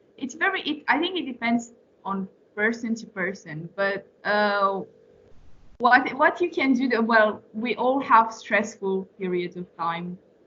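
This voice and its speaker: A woman with a Romanian accent, lively intonation and a fairly slow pace. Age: 20s. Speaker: former intern and young professional. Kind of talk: Q&A with students. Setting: meeting with a student class. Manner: hesitant, many fillers and restarts.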